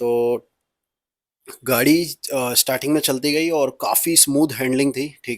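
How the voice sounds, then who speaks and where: At a moderate pace, a man speaks with fairly even intonation on a very clean recording with a silent background and a dry, close sound with no echo. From Punjab, India. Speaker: car vlogger. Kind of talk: car review vlog. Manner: hesitant with fillers.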